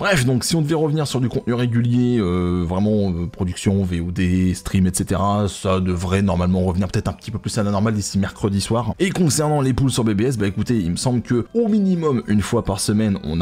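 Delivered in an ordinary speaking voice at a moderate pace, the speech has lively intonation and hardly any pauses. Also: man. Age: 30s. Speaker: gaming YouTuber and streamer; gaming YouTuber, streamer. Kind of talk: casual vlog address to viewers. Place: home room. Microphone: studio mic.

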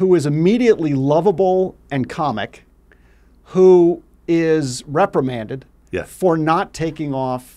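Dark and mellow in tone, a man speaks at a fairly slow pace. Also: quiet background. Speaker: podcast host telling a story. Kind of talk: podcast conversation. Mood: playful, amused storytelling. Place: studio. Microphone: studio mic.

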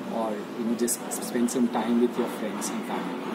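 Loud background noise surrounds a man as he talks. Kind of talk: testimonial interview answer. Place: cafe. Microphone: phone near.

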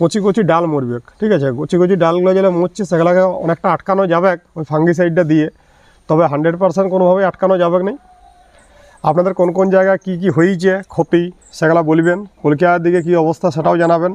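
The voice has very even loudness and fairly even intonation, with a dry, close sound and no echo. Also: man, high pitch for a man. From Bankura, West Bengal, India. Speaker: gardening YouTuber. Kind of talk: casual vlog tutorial.

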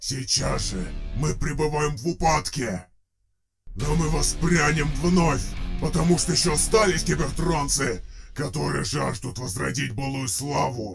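Putting on a raspy character voice, a man speaks at a fairly high pitch and a moderate pace, with long, frequent pauses. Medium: audio drama. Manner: rousing, defiant, oratorical.

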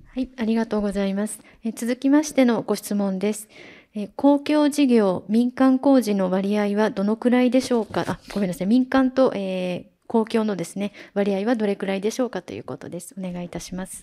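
This voice has a dark, mellow tone and ordinary pitch variation. It moves at a moderate pace. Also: woman, fairly high pitch for a woman, big swings in loudness. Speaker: seminar moderator. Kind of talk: moderating Q&A. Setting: seminar venue with audience. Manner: formal. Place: hall.

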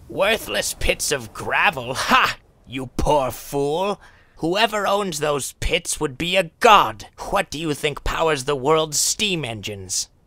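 A man's fairly high pitch with very wide pitch swings at a fairly slow pace. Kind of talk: comic overacting. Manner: blustery, scoffing, pompous.

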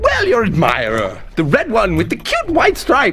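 Over faint background noise, a man does a put-on character voice at a high pitch, with very wide pitch swings, a fairly bright tone and a moderate pace.

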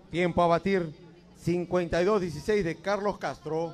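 A man speaks at a high pitch in a flat, monotone intonation. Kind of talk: live race commentary.

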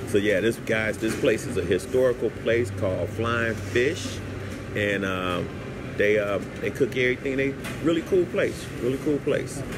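Over noticeable background noise, a man talks at a moderate pace with ordinary variation in pitch. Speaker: travel vlogger. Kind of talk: casual vlog chat. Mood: relaxed, upbeat. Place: cafe. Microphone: lapel.

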